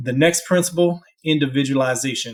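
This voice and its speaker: An unremarkable speaking voice moves at a moderate pace with ordinary pitch variation, recorded very cleanly over a silent background. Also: man. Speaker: podiatrist and sports medicine doctor. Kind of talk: educational talk.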